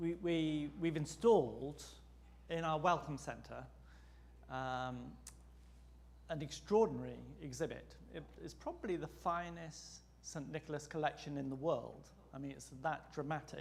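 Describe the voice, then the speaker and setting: A man with an English accent at a fairly slow pace, with long, frequent pauses and audible room echo. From England. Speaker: seminary president and priest. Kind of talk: lecture.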